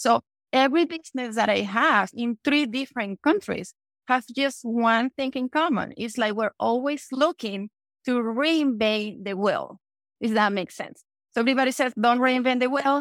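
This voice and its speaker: In a Venezuelan accent, a woman speaks at a moderate pace in a high voice with ordinary pitch variation, on a very clean recording with a silent background and a dry, close sound with no echo. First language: Spanish. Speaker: entrepreneur. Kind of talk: interview.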